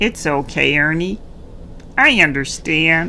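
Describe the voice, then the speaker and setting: A put-on character voice at a middle pitch moves at a fairly slow pace against clear background noise. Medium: read story.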